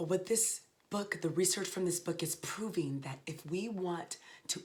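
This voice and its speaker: At a fairly slow pace, a woman speaks in an animated tone with ordinary pitch variation. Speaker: leadership speaker. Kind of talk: motivational talk. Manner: loud.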